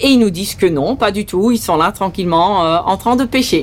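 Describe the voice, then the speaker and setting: A woman is speaking. Her pitch is medium. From Saint-Martin, Caribbean. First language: Dutch (speaking French). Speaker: sea rescue volunteer and boat skipper. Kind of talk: testimony.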